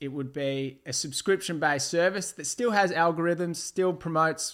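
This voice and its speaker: Recorded very cleanly against a silent background, a man speaks with an Australian accent. His pitch is fairly high, and his pace is moderate. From Melbourne outer east, Australia. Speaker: former reality TV contestant. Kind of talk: casual interview.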